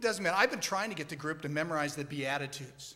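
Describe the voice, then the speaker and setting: A man's voice is heard with audible room echo. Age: 60s. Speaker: church member in scripture memory group. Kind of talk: on-stage interview testimony.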